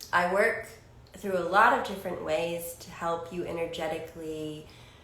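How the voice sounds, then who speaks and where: A woman's fairly low voice at a fairly slow pace, with audible room echo and noticeable background noise. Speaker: psychic channel and spiritual healer. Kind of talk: channeled spiritual monologue. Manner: rambling, with frequent fillers.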